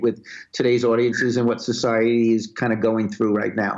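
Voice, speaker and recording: A medium-pitched man with a New York accent, against a quiet background. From Brooklyn, New York. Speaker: music video director. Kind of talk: interview.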